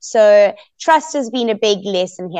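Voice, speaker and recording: Dry and close with no echo, a woman's fairly high, animated voice moves at a moderate pace with lively intonation. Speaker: reality TV contestant. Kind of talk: interview. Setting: video call.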